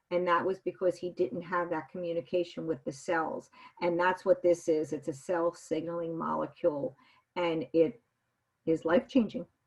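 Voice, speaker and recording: A woman with a fairly low pitch and ordinary pitch variation talks at a moderate speed. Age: 60s. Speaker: interviewee sharing product experience. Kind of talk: interview testimony. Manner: halting.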